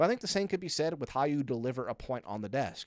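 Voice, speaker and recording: This voice, with an American accent, comes through in a very clean recording with a silent background. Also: man. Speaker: esports analyst. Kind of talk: casual vlog. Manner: very fast talker.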